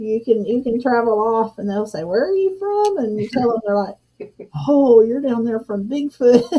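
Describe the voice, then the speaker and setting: Her intonation is lively as this woman speaks in a Southern US accent at a moderate pace. Her fairly high voice has a dark, mellow tone. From southern Arkansas, US South. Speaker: homestead channel host. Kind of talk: casual live stream chat. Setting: live stream.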